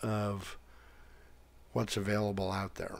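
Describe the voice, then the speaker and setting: A man's fairly low voice at a fairly slow pace. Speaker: tech YouTuber. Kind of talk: casual tutorial talk.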